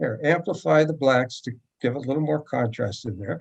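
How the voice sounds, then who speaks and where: The voice has vocal fry and lively intonation. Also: man. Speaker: photography teacher. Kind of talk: tutorial.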